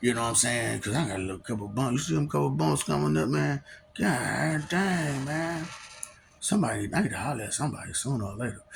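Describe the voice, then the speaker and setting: Through noticeable background noise, a man speaks at a very fast pace with very wide pitch swings. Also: medium pitch for a man. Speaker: vlogger. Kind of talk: casual monologue.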